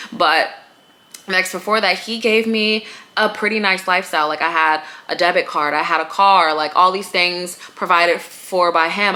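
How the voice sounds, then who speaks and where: Over noticeable background noise, a woman talks with a fairly low voice. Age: 30s. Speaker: lifestyle podcaster. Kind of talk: casual monologue. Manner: casual, filler-heavy.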